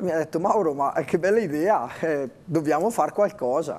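The man talks with a fairly high pitch and keeps a moderate pace. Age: 30s. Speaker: interview guest. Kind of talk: TV interview. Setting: TV studio. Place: studio. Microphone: lapel.

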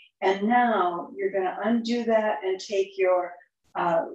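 A woman's calm, very slow speech with ordinary pitch variation and audible room echo over a quiet background. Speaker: yoga instructor. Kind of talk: guided yoga class, step-by-step verbal cueing. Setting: online yoga class. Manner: calm, instructional, unhurried, gently encouraging. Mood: calm, gentle. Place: home room. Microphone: camera far.

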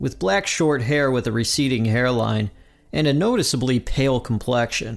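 Someone reads a text aloud in a natural voice. The pitch moves up and down in an ordinary way.

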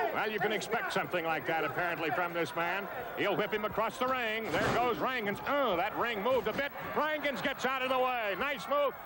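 A man's raised, projected voice is high in pitch, with an animated tone and lively intonation at a fairly quick pace. Loud background noise surrounds him. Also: dry sound with no echo. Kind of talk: live wrestling commentary. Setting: arena broadcast. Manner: animated, rapid play-by-play calling.

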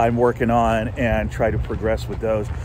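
At a moderate pace, a man talks in a dry sound with no echo and light background noise. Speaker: vlogger. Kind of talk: casual vlog chat. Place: waterside. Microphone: phone near.

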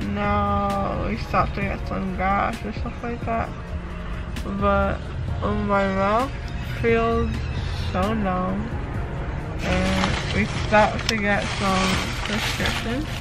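Clear music plays in the background as a woman speaks at a very slow pace with long, frequent pauses. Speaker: vlogger. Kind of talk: casual vlog chat.

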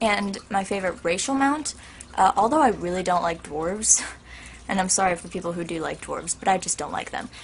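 A woman's medium-pitched, somewhat breathy voice at a fairly quick pace. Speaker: YouTuber. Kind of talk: casual vlog Q&A. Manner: animated.

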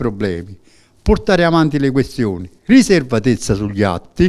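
A man's pitch swings very widely as he talks at a moderate pace over a quiet background. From southern Italy. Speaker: trade union secretary. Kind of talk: interview. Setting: studio. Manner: halting. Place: studio. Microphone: handheld.

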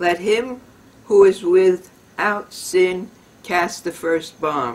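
A woman speaks at a very slow pace. Her pitch is fairly low. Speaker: poetry reader. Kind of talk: dramatic reading of a parody poem. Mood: wry, satirical. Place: home room. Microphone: camera far.

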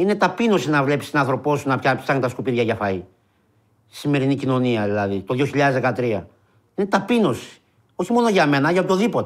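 Against a quiet background, a man talks at a fairly quick pace with very wide pitch swings and long, frequent pauses. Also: fairly high pitch for a man. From Greece (Peloponnese and Epirus roots); Greece. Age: 40s. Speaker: unemployed marketing worker, soup kitchen organiser; interviewee. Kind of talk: testimony. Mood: indignant, emotional. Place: studio.

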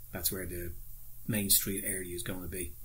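A man's somewhat breathy voice in an Irish accent, at a moderate pace with ordinary pitch variation. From Ireland. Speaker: model railway hobbyist YouTuber. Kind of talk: tutorial. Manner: casual, hesitant with fillers. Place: home room. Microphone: phone near.

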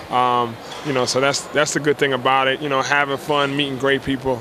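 A man's medium-pitched, monotone, flat delivery, dry with no echo, over noticeable background noise. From South Jersey; New Jersey. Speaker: professional basketball player. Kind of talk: interview. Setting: fashion show event. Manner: halting, many fillers. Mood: relaxed, friendly. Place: bar. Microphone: handheld.

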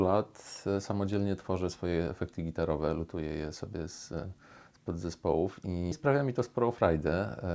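A man's very deep, low voice with lively intonation and big swings in loudness, at a moderate pace, in a very clean recording with a silent background. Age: 30s. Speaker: musicologist and musician. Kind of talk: personal interview monologue. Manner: halting, with fillers and repetitions.

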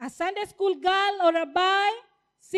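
Fairly even intonation marks a natural reading voice. It sits against a quiet background.

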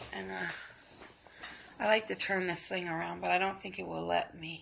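A woman speaks at a moderate speed while noticeable background noise carries on around her. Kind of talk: casual talk to camera.

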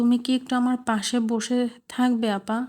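Putting on a character voice, a woman speaks at a moderate pace in a high, shaky voice with monotone, flat intonation. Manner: trembling, frightened.

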